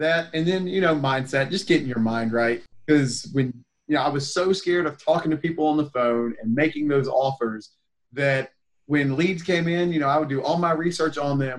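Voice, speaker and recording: A man with a plain, everyday voice and an American accent speaks at a moderate pace, fairly high in pitch, with ordinary pitch variation. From North Carolina, Raleigh area. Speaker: real estate investor. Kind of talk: casual interview chat.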